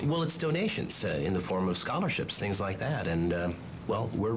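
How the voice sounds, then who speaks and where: A man talks fairly quickly in a fairly low pitch. His pitch swings very widely, and there is noticeable background noise. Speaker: commercial voice actor. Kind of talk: satirical sketch dialogue. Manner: hesitant, evasive, corporate. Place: office.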